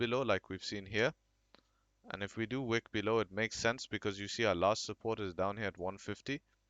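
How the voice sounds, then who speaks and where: Fairly quick in pace, a man speaks at medium pitch with ordinary pitch variation. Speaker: crypto market analyst. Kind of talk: chart analysis commentary. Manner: hesitant, with many fillers.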